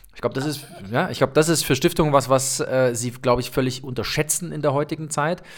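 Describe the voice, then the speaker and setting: A man with a fairly high pitch, very fast pace and fairly even intonation. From eastern Germany. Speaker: podcast host. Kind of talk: casual interview.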